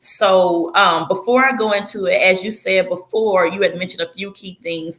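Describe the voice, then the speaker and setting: A strong Southern US accent at a moderate pace, hardly any pauses, and big swings in loudness. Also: woman, medium pitch for a woman. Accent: heavy Southern US. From Florida, US South. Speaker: former church member telling her story. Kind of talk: testimony.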